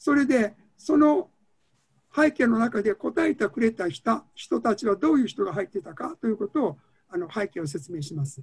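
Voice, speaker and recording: A man speaks in a high voice with very wide pitch swings, recorded dry and close with no echo. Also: moderate pace. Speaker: fertility specialist. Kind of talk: lecture. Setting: video call.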